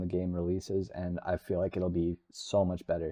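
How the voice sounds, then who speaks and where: The man's pitch is very deep and low. He keeps a moderate pace. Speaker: gaming YouTuber. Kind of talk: casual video commentary. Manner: monotone.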